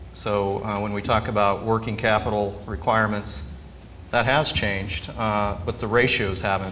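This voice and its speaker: Audible room echo surrounds this man's voice. He has a fairly low pitch and an American accent. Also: ordinary pitch variation, moderate pace. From southern Kansas. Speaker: agricultural banker. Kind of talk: conference talk.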